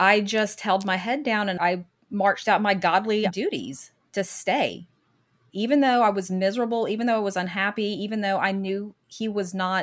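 Against a silent background in a very clean recording, a woman with an American accent uses an unremarkable speaking voice at medium pitch with ordinary pitch variation. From Michigan, later US South. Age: 50s. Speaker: guest sharing her divorce story. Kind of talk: interview, personal testimony.

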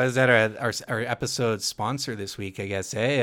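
Using an unremarkable speaking voice, a man talks with a fairly low pitch and ordinary pitch variation. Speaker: podcast host. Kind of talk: casual chat.

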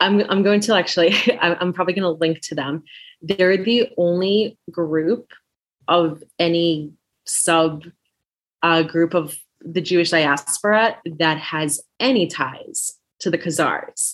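With a normal speaking voice, a woman talks at a fairly slow pace and a fairly low pitch, with ordinary pitch variation. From US, child of Belarusian immigrants. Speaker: podcast host. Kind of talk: casual interview chat.

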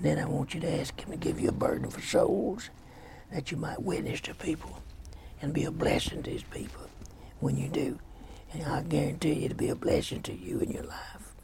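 Whispering in a Louisiana accent, a man speaks at a fairly quick pace. Noticeable background noise runs behind him. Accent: US Southern (Louisiana). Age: 80s+. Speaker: pastor. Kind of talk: sermon.

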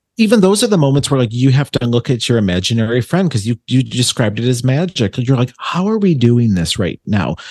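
A man with an American accent talks at a very fast pace with hardly any pauses, in a somewhat breathy voice. His medium pitch swings very widely. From Buffalo, New York. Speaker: psychic medium. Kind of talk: casual chat.

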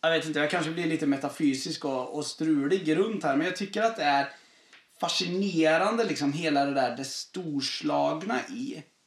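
Here a man with a normal speaking voice talks at a moderate pace in a fairly high pitch with ordinary pitch variation. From southern Sweden. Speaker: pastor. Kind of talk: casual chat.

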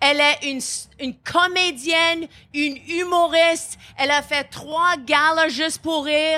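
A raised, projected voice with a bright, sharp tone speaks at a fairly slow pace with fairly even intonation. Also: woman, extremely high pitch for a woman. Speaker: comedian and podcast host. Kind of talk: interview. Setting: live stage at comedy festival.

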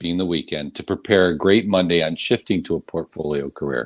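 The sound is dry and close, with no echo. The recording is very clean, and the background is silent. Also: man. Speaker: host. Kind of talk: casual interview. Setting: live stream.

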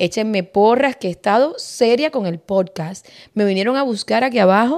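A woman's fairly high voice with lively intonation, at a moderate pace, on a very clean recording with a silent background. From Cuba. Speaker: podcast host. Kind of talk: casual chat.

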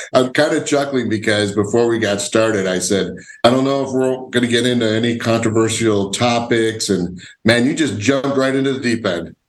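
A man with an American accent speaks fairly quickly at a medium pitch with ordinary pitch variation, and audible room echo surrounds his voice. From Illinois. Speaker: podcast host. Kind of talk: casual interview.

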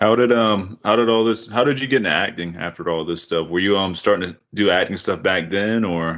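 Pitch varies in an ordinary way at a fairly quick pace. It is a plain, everyday voice. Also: man, fairly low pitch for a man. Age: 30s. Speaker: podcast host. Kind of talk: casual chat. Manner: laughs often.

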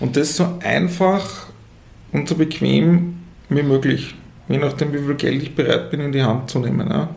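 Amid noticeable background noise and audible room echo, a man with a Tyrolean accent speaks at a moderate pace and a fairly high pitch. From Austria, Tyrol. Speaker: management consultant. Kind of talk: interview. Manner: halting, many fillers and repetitions.

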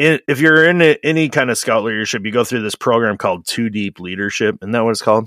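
A man speaks loudly at a very fast pace, with hardly any pauses and lively intonation. His bright, sharp tone sounds dry and close, with no echo. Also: medium pitch for a man. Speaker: trades podcast host, plumber. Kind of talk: casual chat.

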